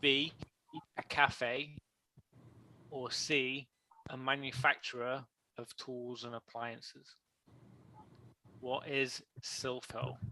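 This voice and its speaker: Speaking very slowly with long, frequent pauses, a man uses a medium pitch and a flat, monotone delivery, his bright, sharp tone swinging widely in loudness in a dry, close sound without echo. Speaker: game show style stream host. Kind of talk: live game show quiz on stream.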